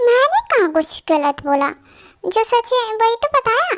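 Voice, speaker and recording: A put-on character voice moves at a moderate pace with very even loudness in a dry, close sound with no echo. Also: woman, extremely high pitch for a woman. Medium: audio drama. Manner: argumentative.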